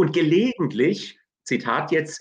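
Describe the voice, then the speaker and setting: A man talking at a very slow pace. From Hesse, Germany. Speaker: theology professor. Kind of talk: interview. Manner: halting.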